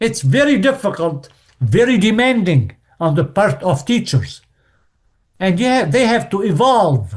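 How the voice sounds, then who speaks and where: A man's high-pitched voice with very wide pitch swings. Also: fairly slow pace, very even loudness. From Lebanon. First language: French and Arabic. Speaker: French teacher. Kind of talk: podcast interview.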